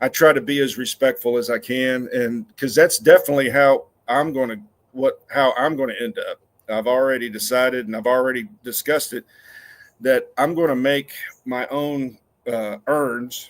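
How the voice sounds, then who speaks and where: A man speaks with an ordinary speaking voice at medium pitch and a moderate pace. His pitch varies in an ordinary way. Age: 60s. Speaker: cemetery superintendent. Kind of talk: casual chat.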